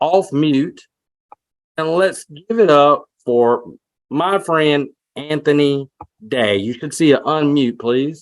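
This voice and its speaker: Intonation is lively in this man's speech. His voice sits at a fairly high pitch. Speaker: webinar co-host. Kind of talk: presenter introduction. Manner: halting.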